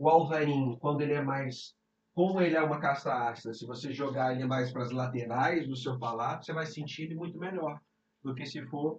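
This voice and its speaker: A man with a Brazilian accent speaks at a fairly quick pace. His fairly high voice has fairly even intonation. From Brazil, Rio de Janeiro. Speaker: sommelier. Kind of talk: casual chat.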